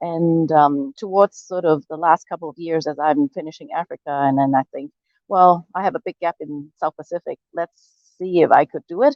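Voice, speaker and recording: Her delivery is a moderate pace, with fairly low pitch, ordinary pitch variation and big swings in loudness, an ordinary speaking voice from a woman. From Hong Kong, moved to Canada at twelve. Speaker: world traveler. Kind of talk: interview.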